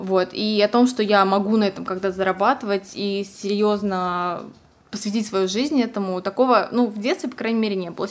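A woman's unremarkable speaking voice at medium pitch, with ordinary pitch variation and a moderate pace, on a very clean recording with a silent background. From Siberia, Russia. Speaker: fashion model and stylist. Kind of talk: casual interview chat.

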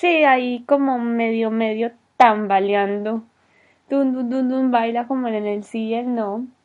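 A woman speaks very slowly with a fairly high pitch. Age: 20s. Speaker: podcast host. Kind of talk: solo podcast monologue. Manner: animated.

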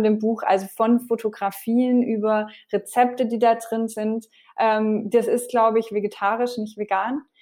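A woman speaks in a dark, mellow tone. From France. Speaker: TV cook and vegan cookbook author. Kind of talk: casual interview.

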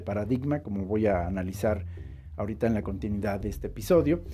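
At a fairly quick pace, the voice carries a dark, mellow tone and very wide pitch swings. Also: man. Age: 40s. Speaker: podcast host. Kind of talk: monologue podcast.

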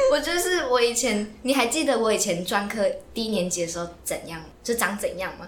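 A woman with a fairly high pitch talks at a fairly quick pace with very wide pitch swings. Audible room echo and noticeable background noise fill the recording. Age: 20s. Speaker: podcast co-host, student. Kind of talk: casual chat. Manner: animated.

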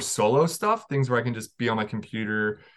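A man with an American accent, medium pitch, ordinary pitch variation and an ordinary speaking voice, over a quiet background. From North Carolina. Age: 30s. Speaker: hardcore band musician. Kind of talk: casual chat.

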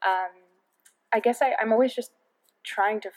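Speaking with a New York accent, a woman has a fairly high pitch and ordinary pitch variation. Her fairly quick delivery has a dry, close sound with no echo. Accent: New York American. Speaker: head of product at a tech startup and entrepreneur. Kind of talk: podcast interview.

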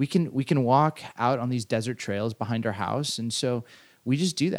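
On a very clean recording with a silent background, a man uses an unremarkable speaking voice at medium pitch with ordinary pitch variation. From Southern California. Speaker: podcast co-host, pastor. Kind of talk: casual chat.

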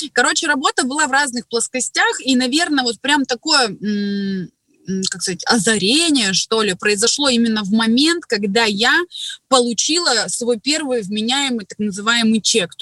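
Her bright, sharp tone and lively intonation sit at a fairly high pitch as this woman talks at a moderate pace, the sound dry and close with no echo. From Siberia, Krasnoyarsk. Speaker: network marketing distributor. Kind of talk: casual interview.

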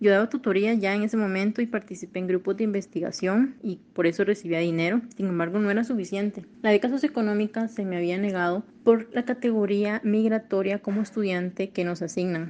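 Talking at a fairly quick pace with hardly any pauses, a woman uses a medium pitch, fairly even intonation and a dark, mellow tone. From Honduras. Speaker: engineering graduate, migrant. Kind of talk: personal testimony.

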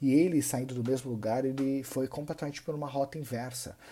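A man talks very fast at a medium pitch, with a dark, mellow tone. The recording is very clean, with a silent background. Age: 30s. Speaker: personal finance content creator. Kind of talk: monologue to camera.

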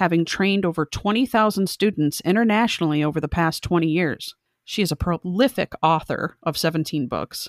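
A woman with an ordinary speaking voice talks at a fairly low pitch and a moderate pace, with ordinary pitch variation, very even loudness and hardly any pauses, recorded very cleanly against a silent background in a dry, close sound with no echo. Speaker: podcast host. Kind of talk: interview.

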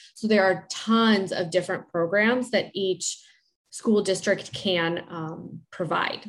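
Using ordinary pitch variation, a woman with an American accent talks at a fairly slow pace in a medium pitch. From Chicago area. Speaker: speech-language pathologist. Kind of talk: interview, expert advice.

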